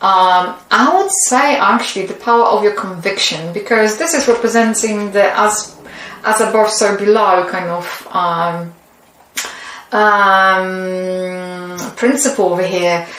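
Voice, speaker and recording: Audible room echo and noticeable background noise surround the recording. A woman with a non-native accent speaks very slowly, with ordinary pitch variation. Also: medium pitch for a woman. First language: not English. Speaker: tarot reader. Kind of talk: tarot reading. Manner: halting.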